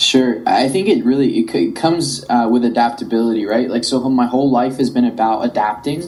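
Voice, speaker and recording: Over noticeable background noise, the speech moves at a fairly quick pace with hardly any pauses and very even loudness. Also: man, medium pitch for a man, ordinary pitch variation. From Colombia, then South Florida from age ten. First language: Spanish. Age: young. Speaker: tech entrepreneur. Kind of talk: podcast interview.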